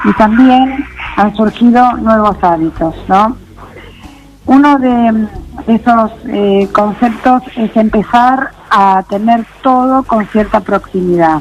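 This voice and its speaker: A woman speaks at a very slow pace, her pitch fairly high with ordinary variation. Her loudness stays very even over music in the background. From Argentina. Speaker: local politician, architect. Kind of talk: interview.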